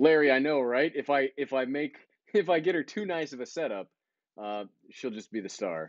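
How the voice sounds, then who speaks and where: A man's fairly high pitch with lively intonation. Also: moderate pace. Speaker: YouTuber, drone vlogger. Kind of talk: live stream chat. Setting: live stream. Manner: loud.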